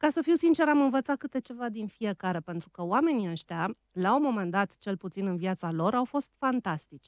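Over a quiet background with a dry sound and no echo, a woman speaks at a moderate pace with very wide pitch swings. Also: hardly any pauses. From Romania, outside Bucharest. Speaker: radio host and writer; radio host. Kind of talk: casual chat. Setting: studio. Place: studio. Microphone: studio mic.

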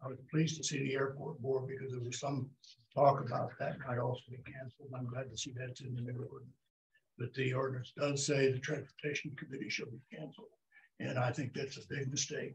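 Over light background noise, a man talks at a fairly quick pace in a somewhat breathy voice with monotone, flat intonation. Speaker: citizen giving public comment. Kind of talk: public comment statement. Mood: earnest, concerned. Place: hall. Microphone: podium.

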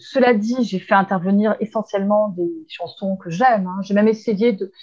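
This woman talks at a very fast pace with fairly even intonation and a somewhat breathy sound. The background is quiet. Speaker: guest. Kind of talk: interview answer. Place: home room. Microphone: earbuds.

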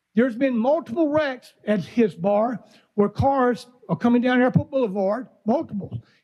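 With an Alabama accent, a man speaks at an extremely high pitch and a moderate pace, with ordinary pitch variation and very even loudness. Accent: Southern US (Alabama). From US South, Mobile, Alabama. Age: 60s. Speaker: resident speaking at public comment. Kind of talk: public comment at government meeting. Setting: county commission meeting chamber.

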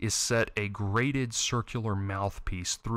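Ordinary pitch variation in plain reading aloud

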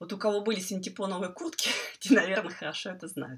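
A woman's voice moves at a moderate pace. Behind her, things are quiet. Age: 50s. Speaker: quilting teacher. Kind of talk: tutorial. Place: home room. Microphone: earbuds.

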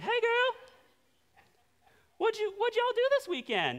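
In a squeaky, put-on character voice with an extremely high pitch, the speaker talks at a fairly slow pace. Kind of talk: casual, friendly.

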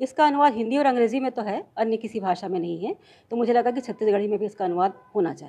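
A woman talks at a fairly quick pace with a fairly high pitch and a dark, mellow tone. Her pitch varies in an ordinary way. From Chhattisgarh, India. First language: Chhattisgarhi (speaking Hindi). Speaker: professor and lyric translator; professor. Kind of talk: interview. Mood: calm, proud of work. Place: home room. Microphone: handheld.

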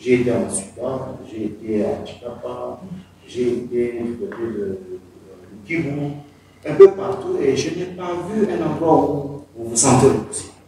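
A man talks at a very slow pace, his pitch swinging very widely and his loudness rising and falling sharply. Strong room echo surrounds him over light background noise. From DR Congo, Kasai; DR Congo. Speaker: community speaker at diaspora meeting; speaker. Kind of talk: panel discussion. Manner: halting. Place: meeting room. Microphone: camera far.

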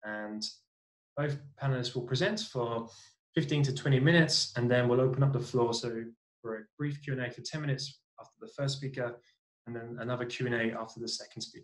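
With a British accent, a man talks with fairly even intonation. The background is quiet. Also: fairly quick pace. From Britain. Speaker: NGO cities program coordinator and webinar moderator. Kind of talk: webinar moderation. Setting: video call. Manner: hesitant, many fillers. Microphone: earbuds.

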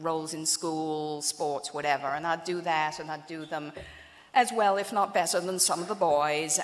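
A woman with an English accent speaks at a moderate pace and a fairly low pitch. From England, London. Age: 50s. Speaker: asset manager and keynote speaker; keynote speaker. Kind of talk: keynote speech. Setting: banquet stage with audience. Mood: warm, anecdotal. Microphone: podium.

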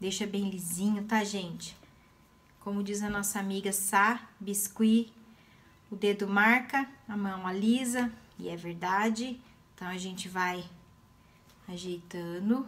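A woman talks at a very slow pace with long, frequent pauses, her voice somewhat breathy and her intonation fairly even. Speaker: craft teacher. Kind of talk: tutorial. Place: home room. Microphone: phone near.

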